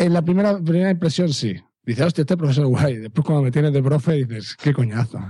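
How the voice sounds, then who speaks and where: Speaking very fast, a man with a fairly high pitch has a dark, mellow, somewhat breathy voice and lively intonation. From Catalonia. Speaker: secondary school teacher and podcaster. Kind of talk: casual chat.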